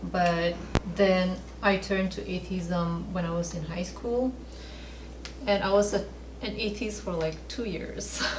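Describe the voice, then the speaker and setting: Speaking at a fairly slow pace with long, frequent pauses, a woman is heard through audible room echo and noticeable background noise. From Northeast India, Manipur. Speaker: missionary, faith mentor. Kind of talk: testimony. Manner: soft-spoken.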